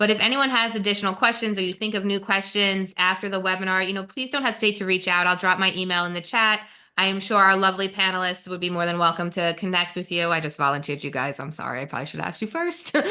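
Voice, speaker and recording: Very fast speech with a New Jersey accent, a bright, sharp tone, ordinary pitch variation and hardly any pauses. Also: woman, medium pitch for a woman. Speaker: webinar moderator, nonprofit policy staff. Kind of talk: webinar presentation. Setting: online webinar.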